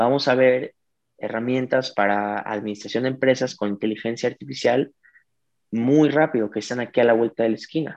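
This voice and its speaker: A man's normal speaking voice, medium in pitch, at a moderate pace with fairly even intonation. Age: 20s. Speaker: digital media entrepreneur. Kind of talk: interview.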